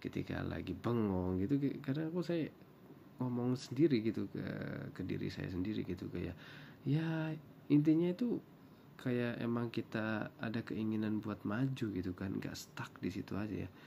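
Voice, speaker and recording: At a moderate pace, a man with a Javanese accent and a dark, mellow tone speaks at a medium pitch with lively intonation. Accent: Javanese accent, also in Indonesian. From Java, Indonesia. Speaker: vlogger. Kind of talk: reaction commentary.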